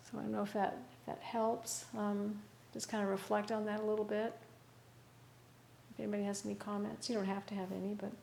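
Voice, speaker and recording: Talking at a very fast pace with long, frequent pauses, a woman keeps a monotone, flat intonation amid audible room echo. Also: medium pitch for a woman. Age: 60s. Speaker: Buddhist meditation teacher. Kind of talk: dharma talk with group discussion. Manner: halting, many fillers.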